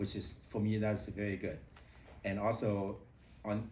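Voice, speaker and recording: A man with a fairly low pitch speaks with a non-native accent. Audible room echo surrounds his voice. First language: not English. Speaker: public speaking club member. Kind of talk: impromptu speech. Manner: halting.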